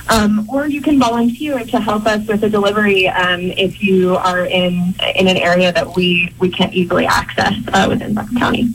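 A woman of medium pitch speaks with hardly any pauses against noticeable background noise. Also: ordinary pitch variation, fairly quick pace, very even loudness. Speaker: charity organizer. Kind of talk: interview.

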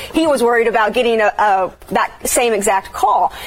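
Noticeable background noise surrounds a woman speaking with an American accent. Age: 20s. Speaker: TV sports reporter. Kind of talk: casual sports chat.

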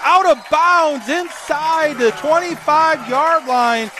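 Over noticeable background noise, a man speaks in a raised, projected voice. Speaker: radio sports play-by-play announcer. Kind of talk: live sports commentary, play-by-play. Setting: broadcast booth at a football stadium.

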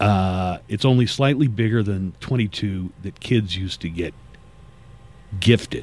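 The man's voice is fairly low and his pitch varies in an ordinary way. He speaks at a very slow pace. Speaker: radio host. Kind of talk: casual chat. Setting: studio.

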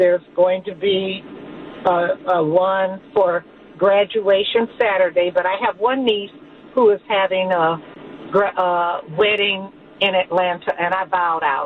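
Over noticeable background noise, a woman with an American accent speaks at a medium pitch. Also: fairly even intonation, fairly slow pace. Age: 60s. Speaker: caller. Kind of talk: call-in.

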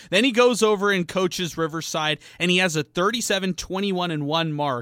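A raised, projected voice with a bright, sharp tone comes through in a dry, close sound with no echo. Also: man. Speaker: radio sports co-host. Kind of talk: casual sports talk radio. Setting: radio studio. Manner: upbeat, enthusiastic.

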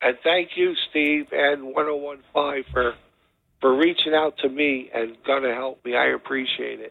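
A man with a New Jersey accent, fairly slow pace and fairly even intonation. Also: fairly high pitch for a man. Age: 60s. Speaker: paralyzed former football player. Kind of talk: interview. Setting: phone call.

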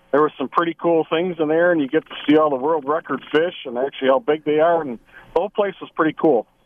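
With an American accent, a man talks at a very fast pace in a fairly high pitch with ordinary pitch variation. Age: 50s. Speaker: fishing guide. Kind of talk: radio interview.

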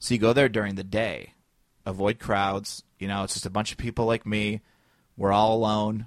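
A man with a Chicago accent talks at a moderate pace in a fairly low, flat monotone. The sound is dry and close, with no echo. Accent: Midwestern US (Chicago area). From Northwest Indiana. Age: 30s. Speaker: stand-up comic and podcaster. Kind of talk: casual interview chat. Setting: podcast studio with microphones.

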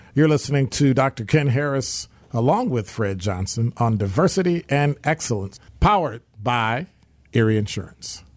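Here is a man with an ordinary speaking voice at a medium pitch, talking at a moderate pace with lively intonation. The recording is very clean, with a silent background. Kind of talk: radio host patter. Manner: warm, upbeat, bantering.

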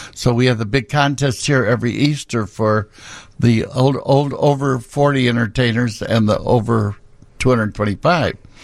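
In a very clean recording with a silent background, a man with a Midwestern American accent speaks at very even loudness and with fairly even intonation. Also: medium pitch for a man. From Peoria, Illinois. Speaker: drag club owner. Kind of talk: radio interview. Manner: halting.

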